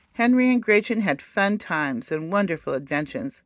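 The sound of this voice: Lively intonation in an unforced reading voice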